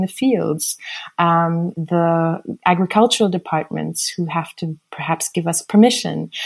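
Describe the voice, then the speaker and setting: The speaker has an American accent and a fairly slow pace with ordinary pitch variation. The recording is very clean, with a silent background. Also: woman. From raised internationally (Switzerland, Italy, Germany, USA, Austria). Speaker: artist and architect. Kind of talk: interview.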